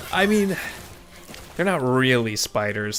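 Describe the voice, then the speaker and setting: A man is speaking. Music plays in the background. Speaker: streamer playing video games. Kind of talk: casual live stream commentary. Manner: sometimes quiet, self-muted.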